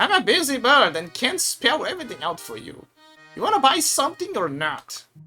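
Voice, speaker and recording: Faint music plays in the background as a put-on character voice with a high pitch moves at a fairly quick pace. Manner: impatient.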